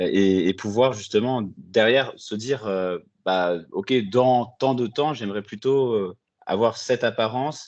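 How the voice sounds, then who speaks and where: A man at a very slow pace, with lively intonation, against a quiet background. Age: 20s. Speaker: coaching client, export manager. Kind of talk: interview testimony. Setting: video call. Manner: hesitant, many filler sounds.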